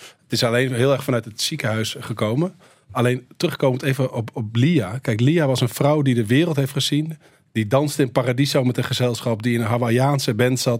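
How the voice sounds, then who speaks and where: In a very clean recording with a silent background, a man of medium pitch speaks at a moderate pace, somewhat breathy, with fairly even intonation. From Netherlands. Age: 40s. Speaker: filmmaker. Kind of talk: radio interview.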